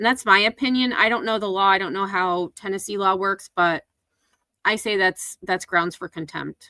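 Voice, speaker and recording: Her tone is bright and sharp, with fairly even intonation. The woman has an American accent. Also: medium pitch for a woman, moderate pace. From upstate New York, US Northeast. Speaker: commentary YouTuber. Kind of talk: livestream commentary reacting to clips. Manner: casual, conversational.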